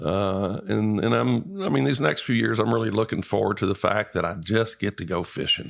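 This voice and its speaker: A man with a Texan accent speaks at a moderate pace with hardly any pauses, his fairly low voice rising and falling in lively intonation at very even loudness over noticeable background noise. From East Texas. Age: 60s. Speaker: retired fishing guide. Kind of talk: casual chat.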